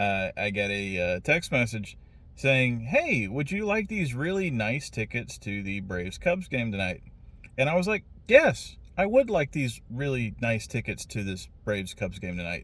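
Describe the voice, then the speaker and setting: A moderate pace with a Southern US accent. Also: man. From Southeastern United States. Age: 40s. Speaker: retro game reviewer. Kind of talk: casual vlog talk. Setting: hotel room.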